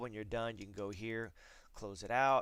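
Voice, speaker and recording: A man is talking. His voice sits fairly low. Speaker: real estate agent. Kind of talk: screencast tutorial. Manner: fast; casual, filler words.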